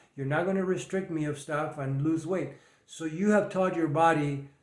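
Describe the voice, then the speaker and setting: Speaking at a fairly quick pace, a man with a fairly high pitch keeps a fairly even intonation over noticeable background noise. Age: 70s. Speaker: fitness and nutrition coach. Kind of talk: monologue advice video.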